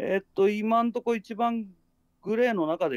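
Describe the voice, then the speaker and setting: Dry and close with no echo, a man's voice proceeds at a moderate pace. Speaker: werewolf game player. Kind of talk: game discussion.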